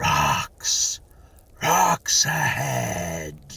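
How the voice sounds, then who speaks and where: A man uses a put-on character voice that sounds raspy. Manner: shouting, urgent warning.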